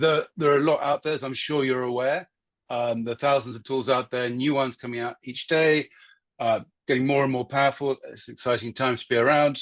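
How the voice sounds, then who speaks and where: A man with a British accent talks at a fairly quick pace and fairly high pitch, with ordinary pitch variation, over a quiet background. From UK. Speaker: marketing consultant giving a guest talk. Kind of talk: lecture. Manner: hesitant, many fillers.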